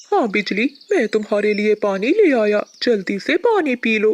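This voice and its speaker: At a moderate pace, a cartoonish character voice comes through at a fairly high pitch. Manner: soft, earnest.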